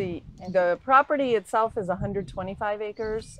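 Here a woman with an unremarkable speaking voice and an American accent talks at a fairly slow pace with lively intonation. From Binghamton, upstate New York. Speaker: retired winery owner, former lawyer. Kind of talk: oral history interview.

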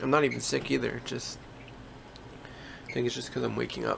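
Fairly quick male speech against noticeable background noise. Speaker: musician vlogger. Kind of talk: casual vlog chat. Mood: relaxed, laughing. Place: home room. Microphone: phone near.

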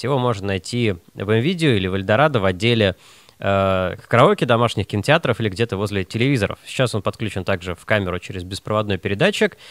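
The speaker talks at a fast pace with lively intonation. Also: man, fairly low pitch for a man.

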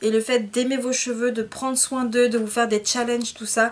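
Here a woman speaks at a high pitch. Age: 20s. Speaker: beauty vlogger; hair vlogger. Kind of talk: tutorial. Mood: encouraging, sympathetic. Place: home room. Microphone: phone near.

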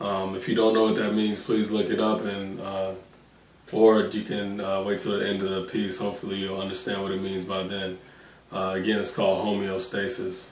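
The voice is monotone, with flat intonation, and audible room echo surrounds it. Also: man, fairly low pitch for a man, moderate pace. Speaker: spoken word poet. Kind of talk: casual talk to camera. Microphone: phone near.

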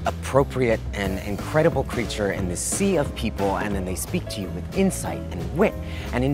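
Very deep, low male voice with very wide pitch swings at a moderate pace, dry with no echo, clear music in the background. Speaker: actor performing readings; actor. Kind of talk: dramatic reading of online posts, comedic and earnest. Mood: earnest, theatrical longing. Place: garden.

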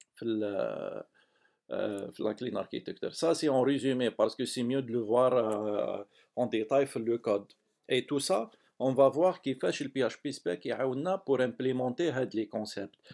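A man with a medium pitch and ordinary pitch variation talks very slowly, leaving long, frequent pauses. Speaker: software developer, tutorial maker. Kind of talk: tutorial. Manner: halting.

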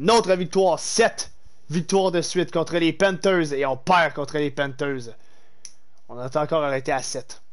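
A man speaks with a Quebec accent at a fairly high pitch and a moderate pace. His pitch varies an ordinary amount against a quiet background. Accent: Québécois French. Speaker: gaming streamer. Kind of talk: live game streaming with chat; live game commentary. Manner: animated. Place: home room. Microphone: headset.

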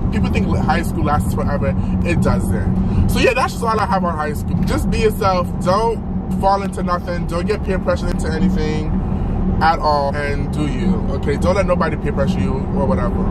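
Man at a fairly quick pace, dry sound with no echo, over loud background noise. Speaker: vlogger. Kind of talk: casual vlog chat. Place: car. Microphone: phone near.

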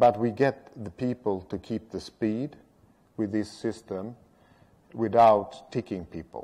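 Speaking with a Swedish accent, a man uses a dark, mellow tone and a fairly low pitch. His intonation stays fairly even at a fairly slow pace. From Sweden. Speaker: road safety strategist; speaker. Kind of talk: lecture. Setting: stage with audience. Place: hall.

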